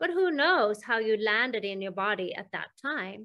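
This woman's bright, sharp tone sits at a fairly high pitch, and she speaks at a moderate pace against a quiet background. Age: 50s. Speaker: hypnosis healing practitioner, interviewer; interviewer. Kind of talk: interview. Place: home room. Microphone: video call.

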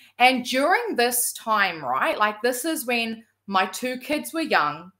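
Against a quiet background, a woman with a New Zealand accent talks at a fairly slow pace in a high pitch, her bright, sharp tone moving through very wide pitch swings. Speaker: entrepreneur and former salon owner; guest. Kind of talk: personal testimony. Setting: video call. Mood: warm, grateful storytelling. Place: home room.

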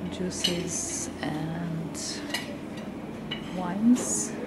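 Loud background noise nearly covers a woman's voice. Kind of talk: casual vlog chat. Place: hall. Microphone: phone near.

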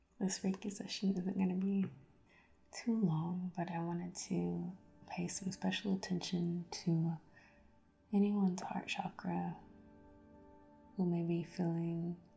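Faint music plays behind a woman who speaks at a fairly slow pace with long, frequent pauses. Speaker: reiki practitioner. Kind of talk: ASMR guided reiki session. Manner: soft-spoken. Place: home room.

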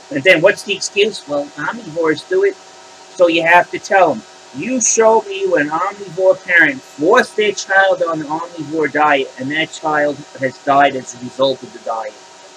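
Against noticeable background noise, a man speaks at a high pitch. His pace is moderate and his pitch variation ordinary. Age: 50s. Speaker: YouTuber. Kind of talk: opinion rant. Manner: animated.

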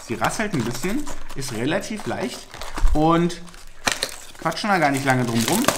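Speaking at a moderate pace over faint background noise, a man uses a fairly high pitch and a fairly bright tone with big pitch swings.

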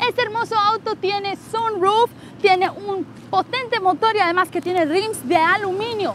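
A woman speaks fairly slowly in an upbeat tone, the sound dry with no echo and light noise in the background. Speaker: car dealership presenter. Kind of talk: infomercial sales pitch. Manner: upbeat, persuasive salesy delivery. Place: street.

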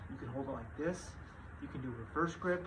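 A man speaks over noticeable background noise. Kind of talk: casual tutorial. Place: garage. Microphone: phone near.

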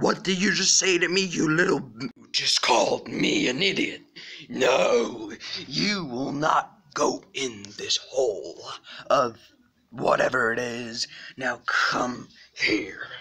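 A raspy man with a fairly high pitch talks at a fairly slow pace. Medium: comedy sketch. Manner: grumpy, bossy.

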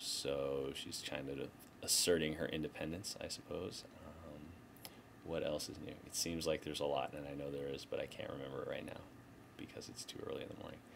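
At a fairly quick pace, a man talks through noticeable background noise. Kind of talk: casual vlog chat. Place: office. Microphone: webcam.

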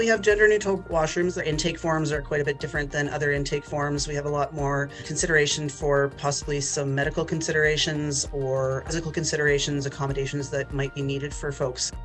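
Over faint music in the background, the speech runs at a very fast pace with hardly any pauses. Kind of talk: interview answer. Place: home room. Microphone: webcam.

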